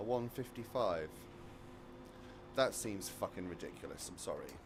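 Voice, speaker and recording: A man at a moderate pace, with an English accent. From British army family, lived all over the world. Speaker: racing game streamer. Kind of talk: live gameplay commentary. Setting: live stream. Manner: casual, fragmented.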